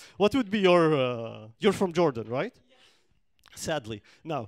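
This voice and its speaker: A man with a fairly high pitch talks at a moderate pace in an animated tone with lively intonation, over a quiet background. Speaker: stand-up comedian. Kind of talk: stand-up comedy. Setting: stage with audience. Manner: animated, jokey, banter with the audience. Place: stage. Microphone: handheld.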